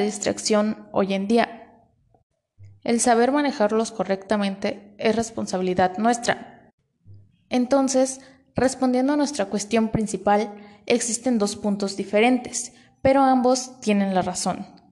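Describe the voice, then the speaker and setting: At a fairly slow pace, a woman with a dark, mellow tone and fairly high pitch speaks with fairly even intonation and very even loudness. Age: 20s. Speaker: student podcast host. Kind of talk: scripted podcast presentation. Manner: formal.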